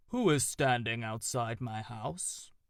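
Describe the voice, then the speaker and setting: A man performs a put-on character voice at a medium pitch. He talks at a fairly slow pace. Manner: booming, questioning.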